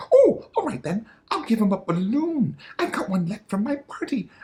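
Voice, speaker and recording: A man puts on a character voice pitched high. He delivers it at a moderate pace. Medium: read story. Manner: nervous, stammering.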